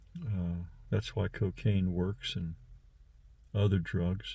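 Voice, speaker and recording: A very deep, low male voice, somewhat breathy, with a dark, mellow tone and lively intonation. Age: 60s. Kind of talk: personal monologue. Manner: halting, many fillers.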